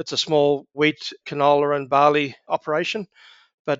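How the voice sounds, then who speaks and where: This is a man with an Australian accent. His pitch sits fairly high. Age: 60s. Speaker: agribusiness executive. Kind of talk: interview.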